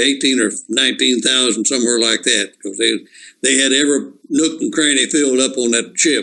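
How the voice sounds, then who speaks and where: A man with a Texan accent speaks at a fairly quick pace. His medium-pitched voice has a bright, sharp tone. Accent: Texan Southern US. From East Texas. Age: 80s+. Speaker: war veteran. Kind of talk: oral history interview. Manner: halting.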